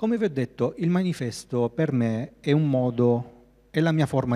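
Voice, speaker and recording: A man's dark, mellow tone at a fairly slow pace, with ordinary pitch variation and a quiet background. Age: 30s. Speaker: graphic designer. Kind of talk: lecture. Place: hall. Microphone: handheld.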